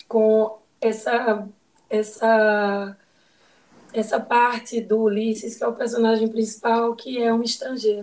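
Speaking at a fairly slow pace, a woman with a fairly high pitch keeps a monotone, flat intonation. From Ceará, Brazil. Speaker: psychiatrist. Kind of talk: casual chat.

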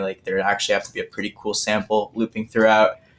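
With a Toronto accent, a man talks at a very fast pace. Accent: Canadian English (Toronto). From Toronto area, Canada. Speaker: podcast host. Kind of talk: casual chat.

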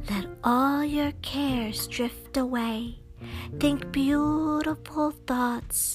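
A woman speaks very slowly in a soft, high, put-on character voice. Music plays clearly in the background. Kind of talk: spa-style. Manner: soothing, calming.

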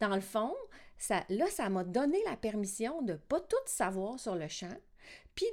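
Very wide pitch swings run through a woman's fairly slow speech in a Quebec accent. The recording is very clean, with a silent background. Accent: Québécois French. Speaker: podcast host, singing teacher and multi-instrumentalist. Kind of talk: casual monologue podcast. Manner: casual with many filler words.

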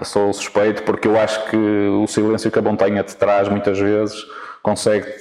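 The voice is monotone and flat at a moderate pace, with noticeable background noise. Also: man, fairly low pitch for a man. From northern Portugal, Vila Nova de Famalicão. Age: young. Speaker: football coach. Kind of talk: interview. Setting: outdoors in a city park. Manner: halting, frequent repetitions.

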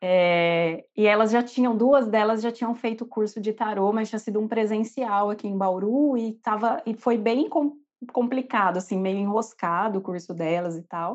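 Ordinary pitch variation and a moderate pace in an unremarkable speaking voice. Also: woman, fairly high pitch for a woman. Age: 30s. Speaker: nurse and tarot reader. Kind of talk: personal testimony.

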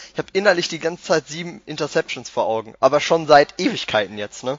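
An ordinary speaking voice: a man at a fairly high pitch, fairly quick pace. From Ruhr area, Germany (Bochum). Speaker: podcast host. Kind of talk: casual chat.

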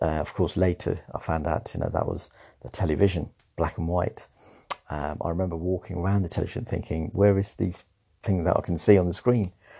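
Speaking fairly quickly with a British accent, a man uses a very deep, low pitch and a dark, mellow tone, his intonation fairly even. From Sri Lanka, raised in the English Midlands. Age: 50s. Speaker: former secondary school teacher. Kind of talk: personal storytelling monologue. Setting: at home. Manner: halting.

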